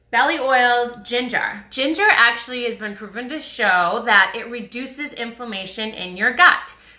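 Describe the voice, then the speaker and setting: A woman with an American accent talks at a moderate pace and a high pitch, with hardly any pauses and big swings in loudness. Noticeable background noise is present. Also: ordinary pitch variation. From US Northeast, Boston. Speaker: wellness influencer selling essential oils. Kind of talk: live stream chat with viewers. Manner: casual, chatty.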